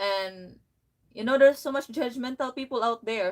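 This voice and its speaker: A woman with a strong Filipino accent at a moderate pace. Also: very clean recording, silent background. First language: Filipino language. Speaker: vlogger. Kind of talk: casual chat. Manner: halting.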